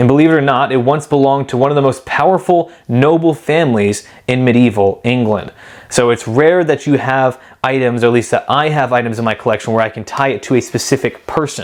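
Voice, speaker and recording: With an American accent, a man talks at a fairly quick pace in an unremarkable speaking voice of medium pitch. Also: ordinary pitch variation. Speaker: Bible collector and video host. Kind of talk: show-and-tell video presentation. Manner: casual with frequent fillers.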